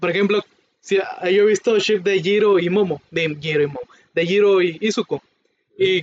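Speech comes at a moderate pace with a Mexican accent and fairly even intonation. The sound is dry and close, with no echo. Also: man, high pitch for a man. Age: 20s. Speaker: podcast co-host. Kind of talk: casual chat.

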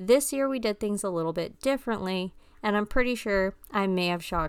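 Recorded very cleanly against a silent background, a woman with an unremarkable speaking voice and medium pitch talks at a moderate pace with lively intonation. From mixed Filipino-American upbringing. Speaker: podcast host. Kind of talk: casual monologue. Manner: casual with frequent fillers (um, uh).

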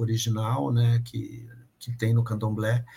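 Somewhat breathy, a man speaks at a medium pitch. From São Paulo, East Zone. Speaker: opera director and lighting designer. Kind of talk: interview. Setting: video call from home office.

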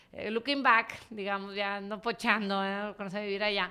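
Her tone is bright and sharp, with a fairly high pitch. This woman speaks at a fairly slow pace. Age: 40s. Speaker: entrepreneur and investor. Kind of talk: casual interview.

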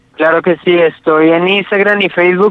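Delivered rather slowly, the speech keeps a fairly level intonation. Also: man. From Colombia, Ibagué (Tolima). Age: 20s. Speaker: cycle tourist. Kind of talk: interview. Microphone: connection dropping out.

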